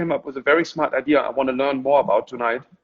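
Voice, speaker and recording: In a German accent, a man speaks at a very fast pace. His pitch is fairly high. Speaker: gallerist and Instagram live host. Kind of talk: casual interview. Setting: Instagram live video call.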